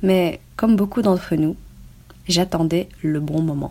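Her voice fairly low with a dark, mellow tone, a woman speaks at a fairly slow pace with fairly even intonation. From Belgium. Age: 20s. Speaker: online business student sharing testimony. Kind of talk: scripted reading of testimony. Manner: formal.

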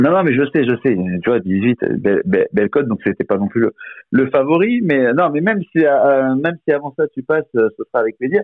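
Pitch swinging very widely, this man keeps to a moderate speed. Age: 40s. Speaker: former professional sports bettor. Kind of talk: casual interview. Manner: halting, repeats words.

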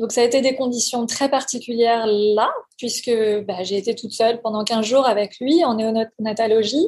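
A woman's fairly high voice, fairly even in intonation, at a fairly slow pace. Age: 40s. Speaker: parent giving testimony. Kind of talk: testimony. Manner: halting.

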